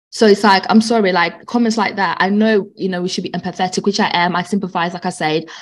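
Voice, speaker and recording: A woman with a British accent and a medium pitch, fairly even intonation and a very fast pace with hardly any pauses. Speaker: respiratory nurse co-host. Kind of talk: casual chat.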